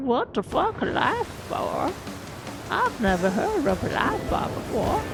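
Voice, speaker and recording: Over music in the background, a woman with an American accent speaks at a fairly slow pace in a high voice that swings very widely in pitch. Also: very even loudness. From US South, East Texas. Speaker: streamer. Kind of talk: gameplay livestream commentary. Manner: casual, swearing reactions.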